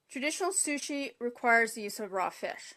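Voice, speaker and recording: With a bright, sharp tone, a woman speaks at a fairly quick pace against a quiet background. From Canada. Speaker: cooking demonstrator. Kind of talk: live cooking tutorial. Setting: Facebook live broadcast.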